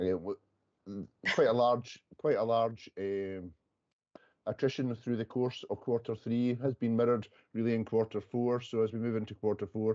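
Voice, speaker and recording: In a Scottish accent, a man talks at a fairly quick pace with a fairly low pitch. His tone is dark and mellow, his intonation fairly even. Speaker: police workforce official. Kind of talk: committee meeting report. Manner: halting.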